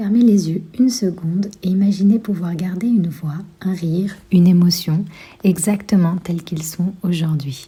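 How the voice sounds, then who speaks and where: A woman's medium-pitched, somewhat breathy voice, dark and mellow in tone, with ordinary pitch variation at a moderate pace. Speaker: podcast host. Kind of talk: podcast ad read.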